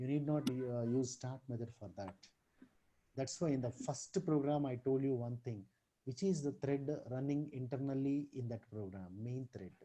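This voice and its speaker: Soft-spoken and somewhat breathy, a man with a dark, mellow tone speaks at medium pitch and a moderate pace with ordinary pitch variation. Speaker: computer science teacher. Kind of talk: online programming tutorial.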